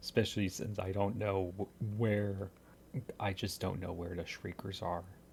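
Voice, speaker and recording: Whispering in a somewhat breathy way, a man speaks at a fairly slow pace. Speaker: gaming youtuber. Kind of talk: gameplay commentary.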